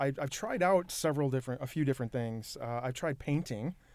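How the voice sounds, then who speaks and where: A man talks at a very fast pace in an American accent. His pitch is fairly high. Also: very clean recording, silent background. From Michigan, Saginaw. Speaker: arena ticketing director. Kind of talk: casual interview.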